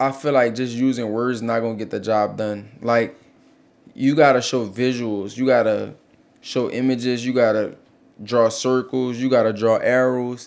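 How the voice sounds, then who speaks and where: The speaker talks with an American accent. The intonation is monotone and flat. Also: man, medium pitch for a man, moderate pace. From US South, New Orleans. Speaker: clothing brand owner, podcast co-host. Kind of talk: casual business advice chat.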